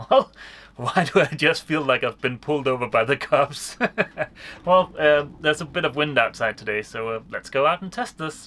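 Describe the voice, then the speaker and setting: A man's bright, sharp tone with lively intonation, at a moderate pace. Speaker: sailing vlogger. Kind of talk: casual vlog chat. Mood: cheerful, joking. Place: boat. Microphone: phone near.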